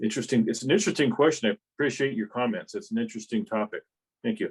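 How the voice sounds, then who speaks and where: Man at a very fast pace, fairly high-pitched and somewhat breathy, with very wide pitch swings in a dry, close sound with no echo. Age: 60s. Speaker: club member. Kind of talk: casual remarks in meeting discussion. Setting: club meeting.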